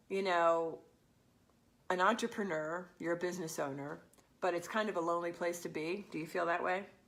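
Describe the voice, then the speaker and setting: A woman with a medium pitch speaks in an animated tone, with audible room echo around her. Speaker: business coach for women real estate agents. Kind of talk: live stream talk to viewers. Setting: live stream.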